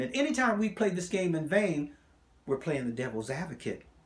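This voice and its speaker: Somewhat breathy, a man talks at a fairly quick pace in an animated tone with lively intonation. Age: 70s. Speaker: health and wellness coach. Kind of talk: motivational talk.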